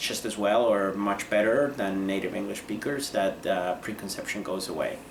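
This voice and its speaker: A man with a Spanish accent speaks at a moderate pace and a fairly low pitch. Room echo is audible, and background noise is noticeable. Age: 30s. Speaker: lawyer. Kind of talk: interview. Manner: hesitant, many fillers.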